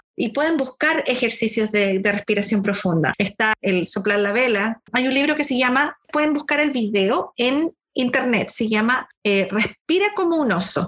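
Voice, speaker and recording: Her unremarkable speaking voice sits fairly high for a woman, with lively intonation, very even loudness, a fairly slow pace and hardly any pauses. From Chile, Concepción. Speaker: school counselor. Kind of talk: podcast interview.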